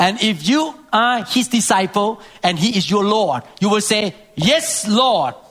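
A man with a high pitch speaks at a fairly slow pace, with lively intonation and very even loudness. Noticeable background noise runs underneath. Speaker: preacher. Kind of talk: sermon.

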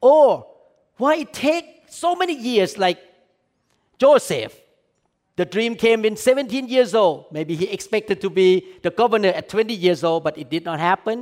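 A man with a high pitch talks at a moderate pace, his voice making very wide pitch swings. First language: not English. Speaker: pastor. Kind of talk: sermon. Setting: church.

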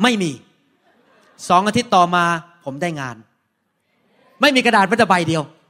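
A man projects his voice loudly, with a bright, sharp tone. His pitch swings very widely. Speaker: pastor. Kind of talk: sermon. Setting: church.

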